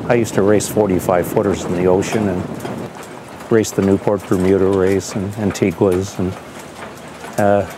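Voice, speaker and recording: A man talks at a moderate pace in a fairly low pitch. His intonation is monotone and flat, with noticeable background noise around him. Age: 70s. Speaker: veteran sailor, race tactician. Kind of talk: interview and giving crew commands.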